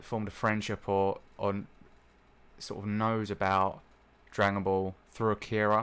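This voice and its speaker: With a British accent, a man speaks in a flat monotone at a fairly low pitch and a fairly slow pace. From UK. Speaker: gaming and anime YouTuber. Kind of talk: casual vlog monologue. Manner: halting, many fillers and restarts.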